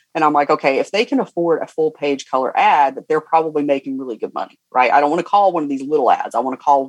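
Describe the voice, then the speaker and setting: In a dry, close sound with no echo, a man with a Southern US accent talks at a very fast pace and a fairly high pitch. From US South, Georgia. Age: 40s. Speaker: business coach. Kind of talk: interview. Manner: animated.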